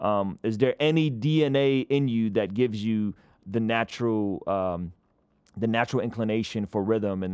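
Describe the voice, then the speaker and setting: This man has an unremarkable speaking voice, fairly low in pitch with ordinary pitch variation. The background is quiet. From San Diego, California (born in former Soviet Union). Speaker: hip hop artist and record label owner. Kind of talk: casual interview.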